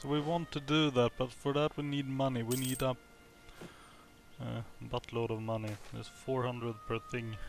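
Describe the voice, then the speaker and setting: Music in the background behind a man talking at a moderate pace. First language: not English. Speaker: video game commentator. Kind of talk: let's play commentary.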